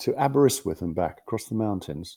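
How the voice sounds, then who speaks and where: In a London accent, a man with a dark, mellow tone and medium pitch talks at a moderate pace with lively intonation, on a very clean recording with a silent background. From West London. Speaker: bishop. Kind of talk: interview.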